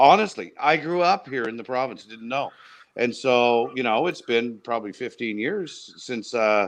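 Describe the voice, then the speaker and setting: A man with a Maritime Canadian accent, medium-pitched, at a moderate pace with lively intonation. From New Brunswick, Canada (Miramichi). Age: middle-aged. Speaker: provincial government minister. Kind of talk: casual podcast interview.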